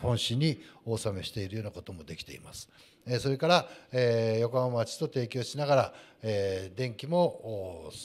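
Loudness swings widely as a man of medium pitch talks at a moderate pace with lively intonation. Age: 50s. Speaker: landscaping company president; guest. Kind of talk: panel talk at live event. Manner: formal. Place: hall. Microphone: handheld.

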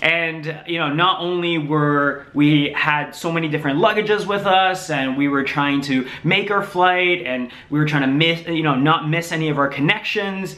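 Hardly pausing, a man talks at a moderate pace. His pitch variation is ordinary. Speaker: vlogger. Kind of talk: casual vlog chat. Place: home room. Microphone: camera far.

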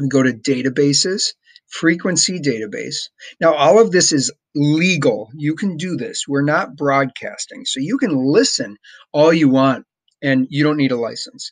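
A man with lively intonation at a moderate pace against a quiet background. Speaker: teacher, ham radio hobbyist. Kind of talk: tutorial. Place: home room. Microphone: webcam.

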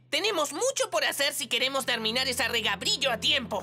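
A woman puts on a character voice, high-pitched, bright and sharp with a slightly husky edge. Her intonation is lively, her pace fairly quick, and faint music plays in the background.

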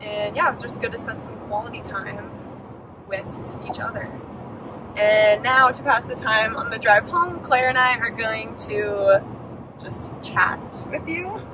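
With long, frequent pauses and ordinary pitch variation, the speech moves at a fairly slow pace in dry sound with no echo, under loud background noise. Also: woman. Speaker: vlogger driving. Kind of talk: casual vlog chat. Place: car. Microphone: phone near.

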